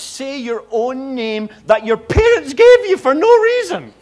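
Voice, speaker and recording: With a Scottish accent, a man speaks at a fairly slow pace in an extremely high pitch, swinging very widely in pitch. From Scotland. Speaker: visiting preacher. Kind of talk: sermon.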